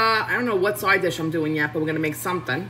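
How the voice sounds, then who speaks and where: A woman with a New York accent and lively intonation, over light background noise. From Queens, New York. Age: 30s. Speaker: home cook livestreamer. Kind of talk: casual cooking livestream. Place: kitchen. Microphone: phone near.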